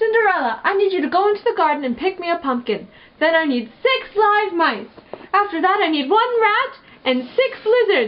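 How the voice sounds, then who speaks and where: Here is a put-on character voice. It moves at a moderate pace. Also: female-sounding voice, extremely high pitch for a woman. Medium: read story.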